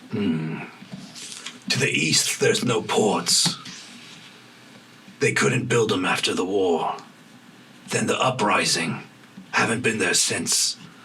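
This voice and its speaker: A man performs a put-on character voice at a fairly slow pace. Background noise is clearly heard. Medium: actual play. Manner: guarded, terse, knowing.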